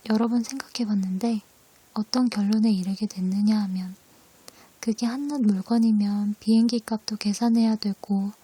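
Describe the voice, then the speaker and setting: Soft-spoken at a moderate pace, the voice comes through over noticeable background noise. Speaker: ASMR creator. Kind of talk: essay reading.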